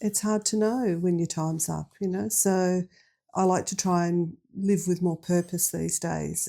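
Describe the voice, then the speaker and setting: A woman with an Australian accent speaks at a fairly slow pace in a fairly low pitch, her dark, mellow tone carried by fairly even intonation on a very clean recording with a silent background. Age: 60s. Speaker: recovering alcoholic, librarian. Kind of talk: personal testimony interview.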